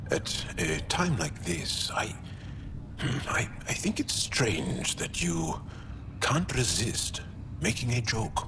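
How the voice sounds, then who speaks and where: A man puts on a character voice at medium pitch, speaking at a very slow pace against loud background noise. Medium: game stream. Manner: warm, amused, with soft laughs.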